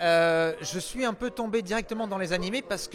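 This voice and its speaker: Music sounds in the background as a man speaks in an energetic tone. His pitch varies in an ordinary way. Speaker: voice actor (French dubbing). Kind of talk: interview answer.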